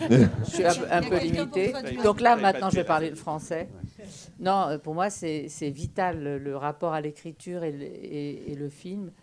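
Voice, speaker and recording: A woman with a fairly low pitch speaks at a moderate pace, showing ordinary pitch variation and big swings in loudness over noticeable background noise. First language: French. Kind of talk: panel discussion.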